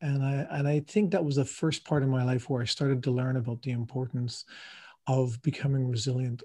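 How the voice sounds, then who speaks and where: Over a quiet background, a man with a fairly high pitch speaks in a dark, mellow, somewhat breathy tone with fairly even intonation. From Ireland. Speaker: coach and marathon runner. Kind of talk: interview conversation. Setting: video call from France.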